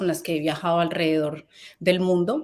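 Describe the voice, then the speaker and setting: With a Colombian accent, a woman talks at a fairly quick pace. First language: Spanish. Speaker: fashion company founder. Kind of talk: conference talk. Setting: event stage. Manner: halting.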